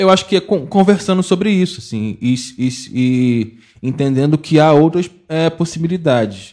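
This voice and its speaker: Dark, mellow tone from a man, with ordinary pitch variation. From Baixada Fluminense, Rio de Janeiro. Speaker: geography teacher and researcher. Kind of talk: podcast panel discussion.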